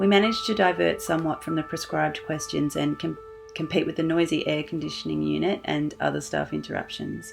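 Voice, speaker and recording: With music playing behind, the speech runs at a fairly quick pace. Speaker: interviewer. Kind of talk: narrated introduction.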